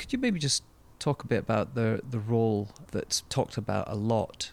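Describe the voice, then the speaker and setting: In a Scottish accent, a man with a fairly low pitch talks at a moderate pace. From Scotland. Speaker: podcast host. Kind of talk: interview.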